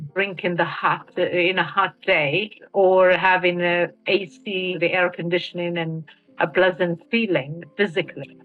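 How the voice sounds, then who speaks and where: Someone speaks at a fairly slow pace with a Mauritanian accent. The intonation stays fairly even, and background noise is noticeable. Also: woman, fairly low pitch for a woman. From Western Sahara. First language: Hassaniya Arabic. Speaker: activist. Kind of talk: interview testimony. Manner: halting.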